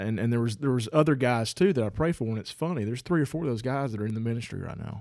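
In a Southern US accent, a man at a medium pitch talks at a very fast pace with hardly any pauses. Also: ordinary pitch variation. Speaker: podcast co-host. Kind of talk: casual chat.

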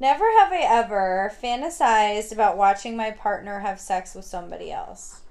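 A woman with an American accent speaks in a normal speaking voice at a moderate pace, her fairly high pitch moving in lively intonation with hardly any pauses. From New York, Hudson Valley. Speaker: podcast host. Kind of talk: casual chat.

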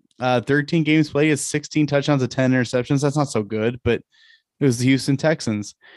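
Speaking very fast, a man with a fairly high pitch keeps his intonation fairly even and his loudness very even, in a dry, close sound with no echo. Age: 30s. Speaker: fantasy football podcast host. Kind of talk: casual chat.

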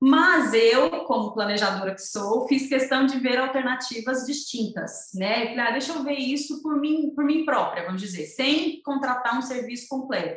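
A woman speaks fairly slowly in a high pitch with lively intonation and hardly any pauses. Noticeable background noise runs underneath. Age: 30s. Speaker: entrepreneur offering postpartum planning for mothers. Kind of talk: interview conversation.

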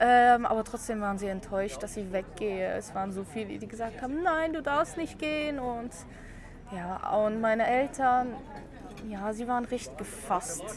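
At a moderate pace, a woman with a fairly high pitch speaks with lively intonation amid noticeable background noise and audible room echo. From Luxembourg. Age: 20s. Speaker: piercer and make-up artist. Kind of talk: interview. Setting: outdoors at a café table.

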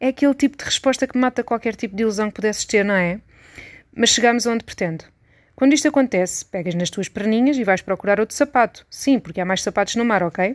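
Very fast speech comes from a woman at a fairly high pitch with ordinary pitch variation. The sound is dry and close with no echo, against a quiet background. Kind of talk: literary audiobook reading, intimate essay-like monologue addressed to 'you'. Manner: conversational, witty and wry, with a confiding tone and rhetorical questions.

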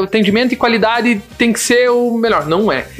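A high-pitched man's voice at a fairly quick pace, with noticeable background noise. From Paraná, Brazil. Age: 20s. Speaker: bakery business owner. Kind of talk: casual podcast interview. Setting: studio.

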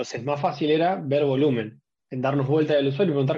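Somewhat breathy, a man with a fairly high pitch speaks at a fairly quick pace with fairly even intonation. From Argentina (Rosario). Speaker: procurement professional. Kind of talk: panel discussion.

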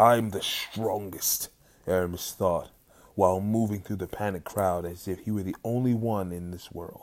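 Just a natural reading voice

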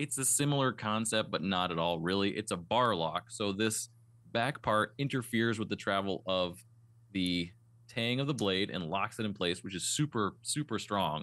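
Against a quiet background, a man with a bright, sharp tone and fairly low pitch speaks at a moderate pace with ordinary pitch variation. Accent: American. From US East Coast. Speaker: knife shop owner and podcast host. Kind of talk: casual interview chat.

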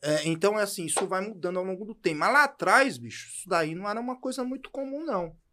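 A man's high, raised, projected voice with a bright, sharp tone, very fast pace, very wide pitch swings and big shifts in loudness, on a very clean recording with a silent background. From São Paulo, Brazil. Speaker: podcast co-host. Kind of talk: casual chat.

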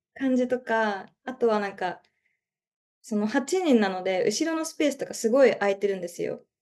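In an unremarkable speaking voice, a woman with a fairly high pitch talks at a moderate pace with lively intonation over a quiet background. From Japan, Chiba. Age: 20s. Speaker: art student. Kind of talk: casual chat.

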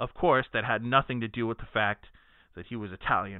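A plain, everyday voice with an American accent, ordinary pitch variation and a moderate pace. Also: man. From Texas (Dallas). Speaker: sports podcast host. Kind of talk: reading aloud; casual chat.

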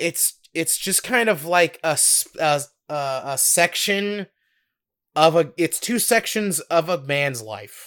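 Very slowly and with lively intonation, a man speaks at a high pitch in a very clean recording with a silent background. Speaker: podcast co-host. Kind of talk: casual chat. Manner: animated, laughs often.

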